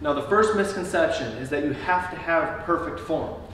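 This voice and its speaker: Over light background noise and audible room echo, a man speaks at a moderate pace. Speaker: fitness coach. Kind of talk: tutorial. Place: garage. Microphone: camera far.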